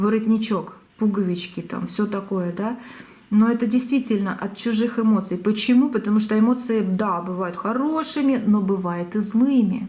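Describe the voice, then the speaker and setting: Her voice somewhat breathy, a woman talks at a moderate speed, her pitch varying in an ordinary way. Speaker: tarot reader. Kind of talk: tarot reading. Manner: halting.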